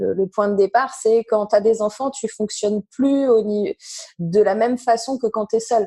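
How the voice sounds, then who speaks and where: The tone is dark and mellow, the pace fairly slow and the intonation fairly even, with a dry, close sound and no echo. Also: woman, fairly high pitch for a woman. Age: 40s. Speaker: entrepreneur. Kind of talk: casual chat. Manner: halting.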